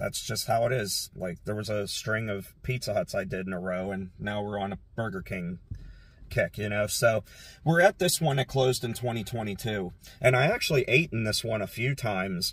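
Somewhat breathy, a man speaks at a moderate pace with ordinary pitch variation in a dry sound with no echo. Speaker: urban exploration vlogger. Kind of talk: casual vlog chat. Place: car. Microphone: phone near.

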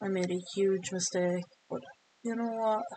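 Flat, monotone intonation from a woman at a medium pitch, at a fairly slow pace. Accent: Irish. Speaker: video game streamer. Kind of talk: gameplay commentary, live football game stream. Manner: rambling, thinking aloud, flustered when pressured, then focused and muttering.

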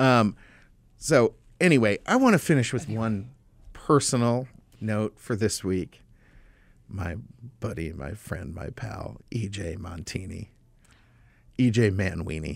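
A man speaks at a fairly low pitch and a fairly slow pace, leaving long, frequent pauses. The sound is dry, with no echo. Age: 40s. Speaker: political talk show host. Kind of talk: casual chat. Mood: opinionated, sarcastic, jovial. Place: studio. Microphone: studio mic.

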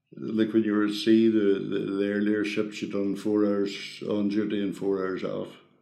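Over a quiet background with audible room echo, a man talks fairly slowly at a fairly low pitch in a dark, mellow tone with monotone, flat intonation. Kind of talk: interview answer. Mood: calm, nostalgic. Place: home room.

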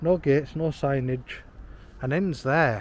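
A man speaks at a fairly slow pace. The sound is dry with no echo, with light background noise. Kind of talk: casual vlog chat. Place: street. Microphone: phone near.

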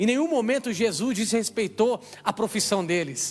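Speaking with a Brazilian accent, a man uses a high voice. He sounds animated, and his pitch varies in an ordinary way. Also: quiet background. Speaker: preacher. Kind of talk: sermon. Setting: church. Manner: call-and-response, exhorting the crowd. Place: stage. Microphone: handheld.

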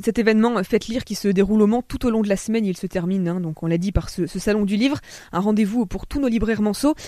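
The speech comes at a very fast pace, with a dry sound with no echo and a quiet background. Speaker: radio host. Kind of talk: radio interview. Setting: studio. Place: studio.

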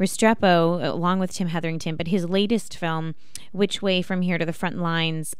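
Against a quiet background, a woman speaks at a moderate pace in a flat monotone, the sound dry with no echo. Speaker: radio show host. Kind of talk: radio host introduction and interview question. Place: studio. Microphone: studio mic.

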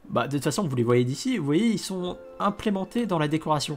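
Music plays in the background as someone talks at a fairly quick pace. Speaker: Minecraft let's play YouTuber. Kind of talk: gameplay commentary. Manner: fast; hesitant, many fillers and repetitions.

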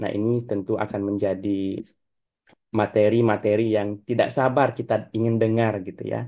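With long, frequent pauses, a man talks at a fairly quick pace in a monotone, flat intonation over a quiet background. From West Kalimantan, Dayak. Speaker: academic panel chair. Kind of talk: online conference panel moderation. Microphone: video call.

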